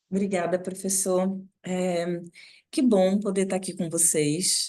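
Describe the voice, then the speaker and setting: A woman speaks in a northeastern Brazilian accent, with audible room echo around her voice. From Northeast Brazil, Recife. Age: 40s. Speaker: NGO director and professor. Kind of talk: guest lecture.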